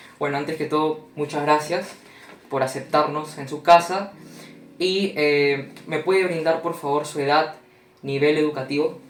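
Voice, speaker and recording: Speech comes at a fairly slow pace with monotone, flat intonation over noticeable background noise. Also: man, fairly high pitch for a man. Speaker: university student interviewer. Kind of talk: interview. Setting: at home.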